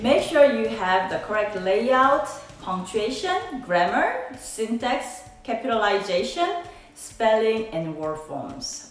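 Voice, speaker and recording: A woman with a non-native accent and lively intonation at a fairly slow pace, amid audible room echo and noticeable background noise. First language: not English. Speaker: professor. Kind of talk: tutorial.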